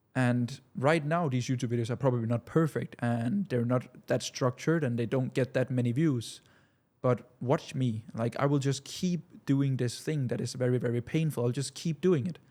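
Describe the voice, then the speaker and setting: A man with a non-native accent speaks at a moderate pace in a dark, mellow tone and medium pitch, his pitch varying in an ordinary way. The recording is very clean, with a silent background. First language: not English. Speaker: business coach. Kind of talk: casual talking-head monologue. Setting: studio. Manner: halting, many repetitions.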